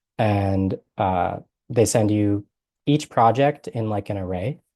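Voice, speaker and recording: This man has a dark, mellow tone and a fairly low pitch. His pitch varies in an ordinary way. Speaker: coding instructor. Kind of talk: live coding class lecture. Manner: casual, hesitant with fillers.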